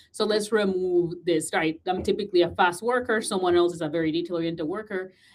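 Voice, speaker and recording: The speaker has a Puerto Rican accent and moves at a fairly quick pace. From Puerto Rico. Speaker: podcast host and communication coach. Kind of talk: casual interview chat.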